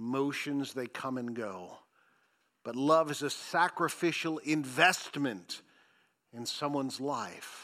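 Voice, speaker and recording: Speaking very slowly, a man has a fairly high, bright and sharp voice with ordinary pitch variation. His loudness swings widely, and the recording is very clean with a silent background. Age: 50s. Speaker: pastor. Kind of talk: sermon.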